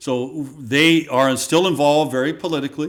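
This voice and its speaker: A plain, everyday voice with an American accent, lively intonation and a moderate pace. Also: man. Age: 60s. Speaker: former state legislator and radio talk show host. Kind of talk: casual interview chat.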